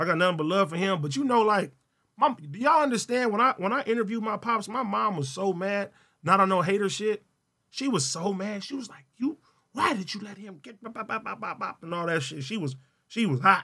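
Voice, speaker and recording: Raised and projected, a man's high-pitched voice has a bright, sharp tone, lively intonation and a fairly quick pace. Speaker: streamer. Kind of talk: live stream chat, casual, thanking donors. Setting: online livestream, solo. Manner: casual, energetic, slangy.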